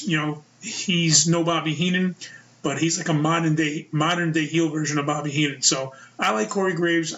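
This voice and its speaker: A man speaks in a New York accent at a fairly high pitch. His intonation is fairly even, with noticeable background noise. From US Northeast, Brooklyn, New York. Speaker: wrestling podcast host. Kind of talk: casual solo podcast commentary.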